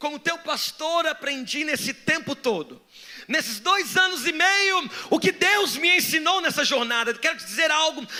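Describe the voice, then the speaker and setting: A man with an extremely high pitch and an animated tone speaks in a raised, projected voice at a fairly slow pace with ordinary pitch variation. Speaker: pastor. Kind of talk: sermon.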